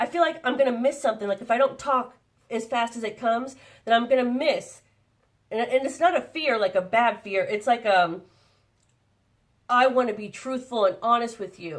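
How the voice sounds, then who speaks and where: The woman's tone is animated. Her voice sits fairly high in pitch. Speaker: psychic channel. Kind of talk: channeled spiritual message. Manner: fast.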